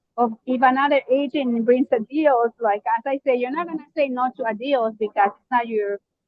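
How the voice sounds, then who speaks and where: A woman with a high pitch speaks at a moderate pace, her pitch varying in an ordinary way. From Mexico. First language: Spanish. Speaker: real estate investor and preschool teacher. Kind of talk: interview. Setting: live online video event. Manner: hesitant, many fillers.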